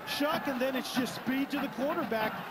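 The man's voice is extremely high in pitch. There is noticeable background noise. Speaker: color commentator, former football player. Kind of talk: live sports commentary. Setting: stadium broadcast booth.

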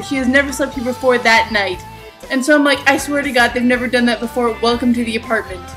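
A woman's high voice at a very fast pace, with ordinary pitch variation and clear music playing in the background. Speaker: vlogger. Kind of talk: casual talk to camera. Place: home room. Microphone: webcam.

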